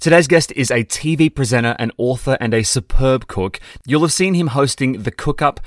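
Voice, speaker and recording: A man with an Australian accent at medium pitch and moderate pace, with ordinary pitch variation, a dry, close sound with no echo, and noticeable background noise. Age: 30s. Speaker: podcast co-host. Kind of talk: casual chat.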